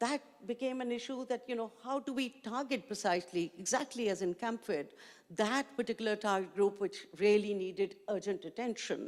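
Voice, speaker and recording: The speaker has a Pakistani accent and talks at a moderate pace. Pitch varies in an ordinary way. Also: woman, fairly high pitch for a woman. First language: Urdu. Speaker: education activist, panelist. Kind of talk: panel discussion.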